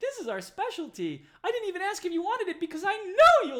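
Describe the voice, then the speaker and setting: In a put-on character voice, the speaker squeaks at an extremely high pitch and talks at a very fast pace. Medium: actual play. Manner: bubbly, enthusiastic.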